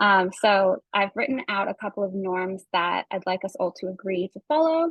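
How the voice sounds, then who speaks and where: At a moderate speed, a woman talks with an unremarkable speaking voice, her pitch medium and varying in an ordinary way. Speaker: environmental community campaigner. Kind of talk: online workshop presentation. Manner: frequent fillers (um).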